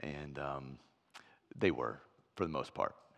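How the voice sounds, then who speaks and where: With an American accent, a man talks at a moderate pace, his voice carrying vocal fry. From US Midwest. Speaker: pastor. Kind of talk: sermon.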